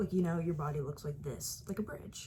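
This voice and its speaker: A woman's voice is somewhat breathy, with a dark, mellow tone. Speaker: vlogger. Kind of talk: casual vlog talk.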